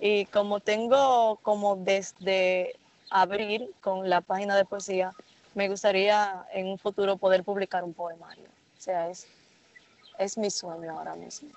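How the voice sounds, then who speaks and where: The speaker uses a normal speaking voice, moving at a fairly slow pace with fairly even intonation. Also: woman, medium pitch for a woman, big swings in loudness. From Dominican Republic, Santo Domingo. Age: 20s. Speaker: student poet. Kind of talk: interview.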